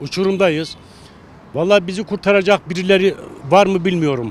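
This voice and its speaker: A man's high-pitched voice shows ordinary pitch variation as he talks at a moderate pace. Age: 60s. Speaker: passer-by interviewed on the street. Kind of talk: street interview.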